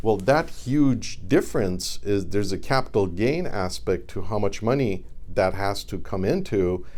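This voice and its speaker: A man with a fairly low pitch and vocal fry talks at a fairly slow pace with lively intonation, and the room echo is audible. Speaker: reverse mortgage advisor. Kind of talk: educational monologue to camera.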